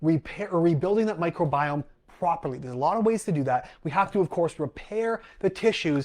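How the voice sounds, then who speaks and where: A man speaks with an animated tone at a high pitch. His pace is fairly quick, with hardly any pauses. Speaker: holistic gut health coach and podcast host. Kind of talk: live online training talk. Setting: live stream.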